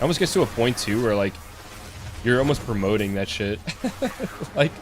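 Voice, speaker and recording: Here a man has an ordinary speaking voice, pitched fairly low. He moves at a fairly quick pace with ordinary pitch variation. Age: 20s. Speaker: video game streamer. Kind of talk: casual chat. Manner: casual.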